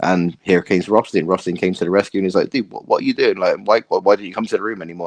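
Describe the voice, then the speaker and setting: A man in a British accent at a very fast pace, the sound dry and close with no echo. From UK. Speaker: social media content creator. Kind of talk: podcast interview.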